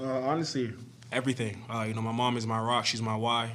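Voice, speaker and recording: The tone is bright and sharp, with audible room echo around it. The intonation stays flat and monotone. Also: man. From Canada. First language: French. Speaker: football player. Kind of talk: press conference. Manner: many filler words (uh, you know).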